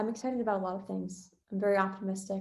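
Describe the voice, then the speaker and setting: A woman's somewhat breathy voice carries monotone, flat intonation. Audible room echo is present. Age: 20s. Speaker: venture capital investor. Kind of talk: interview.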